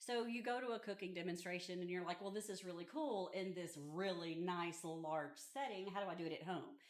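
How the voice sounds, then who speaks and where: A woman's medium-pitched voice at a fairly quick pace, with hardly any pauses, very even loudness, ordinary pitch variation and audible room echo. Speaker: community center staff. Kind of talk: guided tour explanation. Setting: indoors at a community center.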